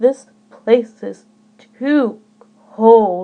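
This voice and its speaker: Fairly high-pitched put-on character voice from a woman. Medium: read story.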